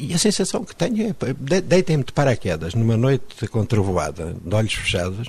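Over noticeable background noise, a man speaks with very wide pitch swings and big swings in loudness. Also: medium pitch for a man, moderate pace, hardly any pauses. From Mozambique. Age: 50s. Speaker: poet. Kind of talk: interview.

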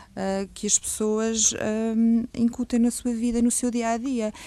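Very clean audio, a silent background, and a dark, mellow tone. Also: woman. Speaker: stress management trainer. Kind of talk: radio interview. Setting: radio studio. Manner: calm, measured.

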